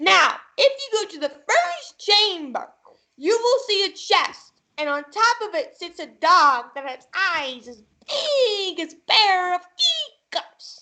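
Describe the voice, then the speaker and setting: A female-sounding put-on character voice goes at a fairly slow pace with an extremely high pitch. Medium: stage play. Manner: insistent, commanding.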